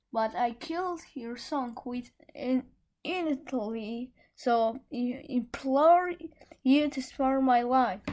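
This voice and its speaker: Someone puts on a shaky character voice and speaks at a very slow pace. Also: woman, high pitch for a woman. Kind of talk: fairy tale read aloud. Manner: pleading, trembling.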